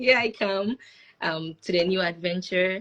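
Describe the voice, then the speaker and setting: A woman with a Ghanaian accent and ordinary pitch variation. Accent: Ghanaian, people ask to repeat. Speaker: international student. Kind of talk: panel discussion.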